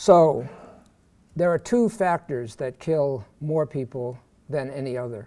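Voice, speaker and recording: Here a man with an American accent speaks at a fairly slow pace. His voice is fairly high, with a dark, mellow tone. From Pittsburgh, Pennsylvania. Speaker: professor. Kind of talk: lecture. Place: hall. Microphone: podium.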